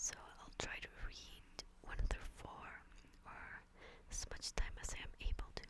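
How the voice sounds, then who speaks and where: Someone whispers at a fairly slow pace. Long pauses come frequently. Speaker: ASMR reader. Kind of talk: casual commentary to listeners. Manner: whispered, soft-spoken.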